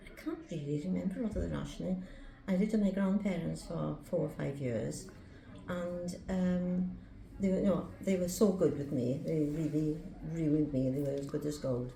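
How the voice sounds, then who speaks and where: A woman speaks with a very deep, low pitch and lively intonation at a moderate pace. Room echo is audible, and there is noticeable background noise. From Swansea, Wales (born London). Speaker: interviewee recalling wartime childhood. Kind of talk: interview.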